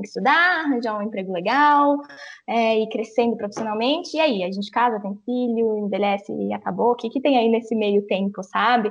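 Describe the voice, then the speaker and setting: Speaking at a fairly quick pace, a woman with a normal speaking voice uses lively intonation and a fairly high pitch. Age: 20s. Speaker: travel influencer. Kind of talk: casual chat.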